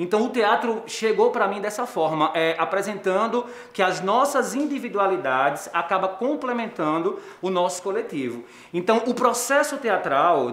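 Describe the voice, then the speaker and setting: The intonation is lively and the pace moderate. Audible room echo surrounds the voice. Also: man. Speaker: theatre teacher. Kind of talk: interview answer. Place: classroom.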